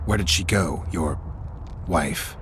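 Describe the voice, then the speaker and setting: Doing a put-on character voice, a man with a very deep, low pitch speaks over clear background noise. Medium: game stream. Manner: dry, terse, matter-of-fact.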